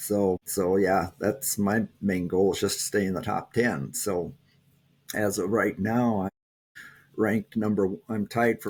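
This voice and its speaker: Speaking in a Minnesotan accent, a man talks at a fairly slow pace and fairly low pitch with fairly even intonation. The recording is very clean with a silent background. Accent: Minnesota. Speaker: taekwondo champion. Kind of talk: interview. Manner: halting.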